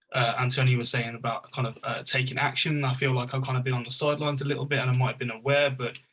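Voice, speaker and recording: With a Birmingham accent, a man speaks in a monotone, flat intonation. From Birmingham, England. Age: 20s. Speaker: youth engagement worker, panelist. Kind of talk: panel discussion.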